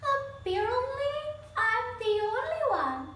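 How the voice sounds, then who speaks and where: A woman uses a put-on character voice, raised and projected, with very wide pitch swings, a fairly slow pace and a slight echo. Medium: read story.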